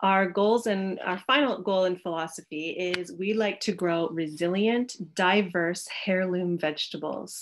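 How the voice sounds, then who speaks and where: A woman's medium-pitched voice in a Canadian accent, fairly slow, with ordinary pitch variation and light background noise. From Canada. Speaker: organic farmer and teacher. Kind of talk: presentation lecture. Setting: video call from home. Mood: warm, friendly. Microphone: video call.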